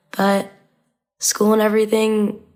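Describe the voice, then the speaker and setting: On a very clean recording with a silent background, a woman with a Midwestern US accent speaks at a moderate pace in a dark, mellow tone. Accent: US Midwest. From Indiana, US Midwest. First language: Arabic. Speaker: college student. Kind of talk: casual chat. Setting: podcast recording.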